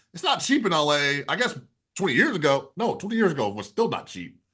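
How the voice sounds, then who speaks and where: A bright, sharp tone with very wide pitch swings at a fairly quick pace. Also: man. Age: 40s. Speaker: real estate investing interviewer. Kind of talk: interview.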